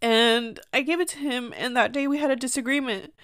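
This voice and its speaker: Loud and animated, a woman speaks at a moderate pace and a high pitch on a very clean recording with a silent background. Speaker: podcast host. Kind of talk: casual personal monologue. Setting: home video recording. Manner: loud, animated.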